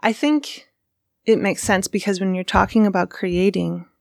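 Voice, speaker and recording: A woman's ordinary speaking voice at medium pitch, fairly even intonation and a moderate pace, on a very clean recording with a silent background. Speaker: interviewer. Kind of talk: casual interview chat. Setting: radio studio.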